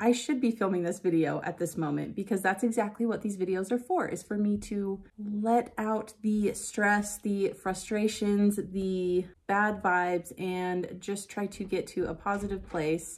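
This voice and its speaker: A woman speaks at a fairly slow pace. Her intonation stays fairly even. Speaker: beauty vlogger. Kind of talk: casual vlog chat. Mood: a bit frustrated, venting. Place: home room. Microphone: phone near.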